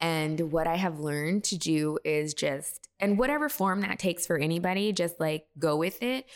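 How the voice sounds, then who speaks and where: A woman with an American accent has a normal speaking voice, fairly low in pitch, with ordinary pitch variation and very even loudness. She keeps a moderate pace with hardly any pauses, on a very clean recording with a silent background. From Texas. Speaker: beauty brand founder and former makeup artist. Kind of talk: interview.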